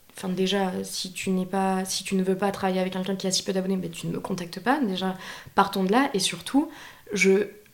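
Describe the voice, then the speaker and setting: Talking at a fairly quick pace, a woman has a normal speaking voice at medium pitch with fairly even intonation. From France, Bordeaux region. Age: 20s. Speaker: freelance video editor and content creator. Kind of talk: casual chat.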